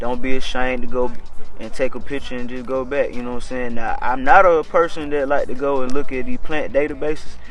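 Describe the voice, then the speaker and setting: Noticeable background noise and audible room echo around a man's medium-pitched voice, fairly quick pace, fairly even intonation. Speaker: urban farmer and channel host. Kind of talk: casual chat on a nature walk. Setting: outdoors in the woods. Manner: fast.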